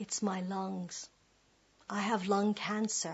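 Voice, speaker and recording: Somewhat breathy, a woman talks with flat, monotone intonation. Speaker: performance poet. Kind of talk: spoken word performance.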